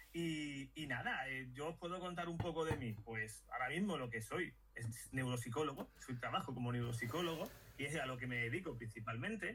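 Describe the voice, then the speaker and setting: A man with a strong Sevillian accent speaks at a medium pitch and a moderate pace with ordinary pitch variation. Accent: strong Sevillian (Andalusian). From Madrid, Spain. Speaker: neuropsychologist. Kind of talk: casual interview chat. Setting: video call.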